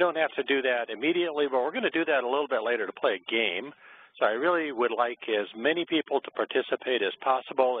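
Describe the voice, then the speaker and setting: Using a normal speaking voice, a man talks at a medium pitch and a fairly quick pace with ordinary pitch variation. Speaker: webinar presenter. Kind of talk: lecture. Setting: webinar.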